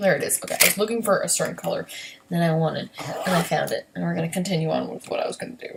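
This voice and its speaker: A quiet woman at a very fast pace, broken by long, frequent pauses, over noticeable background noise. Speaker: beauty vlogger. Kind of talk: casual makeup tutorial livestream. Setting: home at night, son asleep next door. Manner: quiet, hushed; chatty, filler-heavy.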